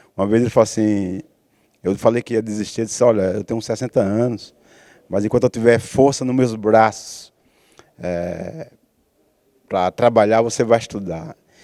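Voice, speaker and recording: A man's medium-pitched, dark, mellow voice at a moderate pace, with fairly even intonation and long, frequent pauses. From Brazil, Bahia (Camaçari). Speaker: TV show host. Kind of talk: casual interview conversation.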